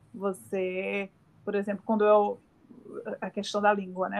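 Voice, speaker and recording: A woman speaks with a Brazilian accent. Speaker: communications professional and podcast host. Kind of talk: casual interview chat.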